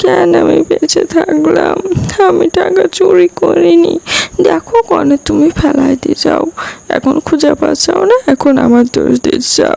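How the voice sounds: At a moderate pace, a woman in a put-on character voice speaks at an extremely high pitch with vocal fry, a dark, mellow tone and fairly even intonation.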